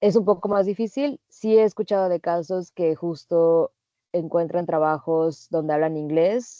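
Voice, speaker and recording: Moderate pace from a woman with a fairly low pitch and ordinary pitch variation. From Mexico. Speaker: working holiday traveler. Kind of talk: interview.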